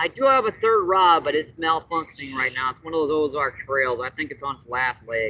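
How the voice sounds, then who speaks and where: In a plain, everyday voice, a man talks at a fairly quick pace with hardly any pauses, his fairly high pitch varying in an ordinary way as his loudness swings widely. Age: 60s. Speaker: fishing livestreamer. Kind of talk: casual live-stream commentary. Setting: outdoors at a lake.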